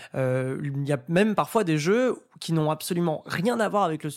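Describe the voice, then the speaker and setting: With lively intonation, a man speaks in a normal speaking voice at a fairly high pitch on a very clean recording with a silent background. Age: 20s. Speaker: host and commentator, horror and fighting game fan. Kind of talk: casual chat.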